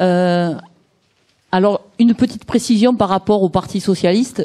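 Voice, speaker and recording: A woman talks in a dark, mellow tone, her pitch varying in an ordinary way. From Provence, southern France. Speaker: party activist. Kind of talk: speech at a political event.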